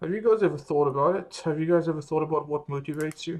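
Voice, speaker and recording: A man with an Australian accent talks in a somewhat breathy voice, his intonation fairly even. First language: French. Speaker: medical student vlogger. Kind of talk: casual vlog monologue. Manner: relaxed, conversational with fillers.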